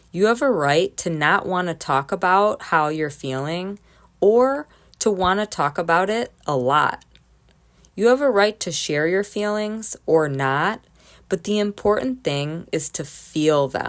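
A woman's normal speaking voice at medium pitch, with lively intonation and a fairly slow pace, on a very clean recording with a silent background. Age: 30s. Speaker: podcast host. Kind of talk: personal monologue.

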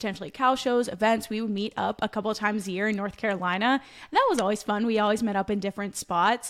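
Here a woman with an American accent has an ordinary speaking voice and a fairly high pitch. She talks at a fairly quick pace with fairly even intonation, on a very clean recording with a silent background. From Pennsylvania. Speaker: podcast co-host, personal trainer. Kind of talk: casual chat.

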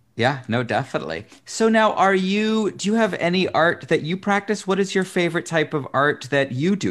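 A man with an American accent at a moderate pace. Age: 40s. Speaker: talk show host. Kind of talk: interview.

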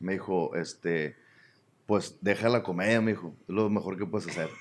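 Moving at a moderate pace with lively intonation, a man with a Sinaloan accent speaks in a very clean recording with a silent background. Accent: northern Mexican Sinaloan Spanish. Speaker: stand-up comedian. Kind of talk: casual chat.

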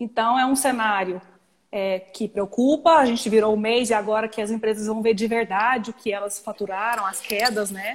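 A woman with a normal speaking voice talks at a moderate pace, her fairly high pitch following fairly even intonation. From Goiânia, Brazil. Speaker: tax lawyer. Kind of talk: live-stream legal discussion. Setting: Instagram live video stream.

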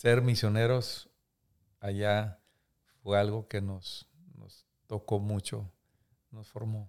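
In a very clean recording with a silent background, a man with a fairly low voice speaks very slowly in a flat monotone, with big swings in loudness and long, frequent pauses. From Mexico, Coahuila (Múzquiz). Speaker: pastor and author. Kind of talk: interview testimony.

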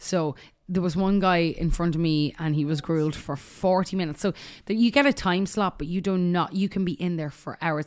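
A woman speaks with an Irish accent at a fairly quick pace and a fairly low pitch. Her pitch varies in an ordinary way over a quiet background. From Ireland. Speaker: musician and songwriter. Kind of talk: casual chat. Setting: studio.

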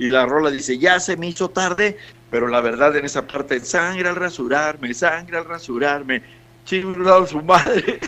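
Here is a man with an unremarkable speaking voice and a fairly high pitch. He talks at a moderate pace with ordinary pitch variation. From Mexico, Monterrey and Veracruz. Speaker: singer-songwriter. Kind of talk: radio interview.

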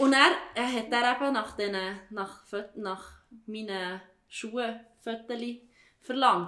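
Audible room echo surrounds a woman with a Swiss accent who talks with ordinary pitch variation. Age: 30s. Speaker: teacher. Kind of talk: casual chat.

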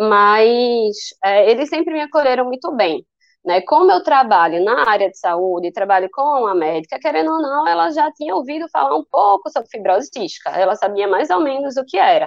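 At a moderate pace, a woman talks in a fairly high pitch. Her voice makes very wide pitch swings. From Brazil, Recife, Pernambuco. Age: 20s. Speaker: physiotherapist with cystic fibrosis. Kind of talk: personal testimony in interview.

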